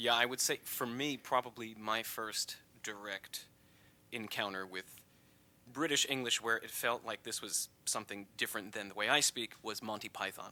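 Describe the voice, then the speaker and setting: A man with an American accent speaks at a medium pitch and moderate pace. His tone is bright and sharp, and his intonation is fairly even. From USA. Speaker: podcast host. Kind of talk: interview.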